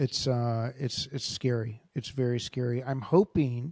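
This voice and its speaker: On a very clean recording with a silent background, a man with a Californian accent speaks in a dark, mellow tone and a monotone, flat intonation, the sound dry and close with no echo. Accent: American, Californian. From Los Angeles. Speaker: podcast host and grappling coach. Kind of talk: interview. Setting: podcast.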